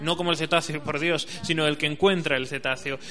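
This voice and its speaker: A man is heard with noticeable background noise. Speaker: radio host. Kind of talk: radio show monologue. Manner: hesitant, with frequent fillers.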